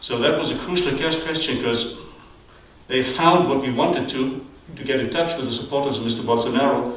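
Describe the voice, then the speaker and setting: With a German accent, a medium-pitched man talks at a fairly quick pace with fairly even intonation, amid noticeable background noise and audible room echo. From Germany. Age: 60s. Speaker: television journalist. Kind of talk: panel discussion. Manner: halting.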